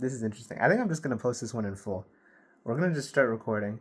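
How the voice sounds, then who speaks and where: A man mumbles at a very fast pace, his voice somewhat breathy. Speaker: vlogger. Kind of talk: casual monologue to camera. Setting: filming alone to camera at night. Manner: mumbling.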